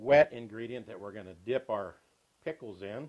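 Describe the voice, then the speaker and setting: With an American accent, a man speaks using ordinary pitch variation. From US South. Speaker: cooking show host. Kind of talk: tutorial. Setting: home kitchen. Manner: folksy. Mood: cheerful, folksy. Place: kitchen.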